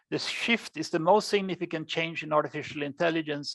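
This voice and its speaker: A fairly quick delivery in a Swedish accent, with ordinary pitch variation, dry and close with no echo over a quiet background. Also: woman. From Sweden. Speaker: AI researcher. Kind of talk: lecture.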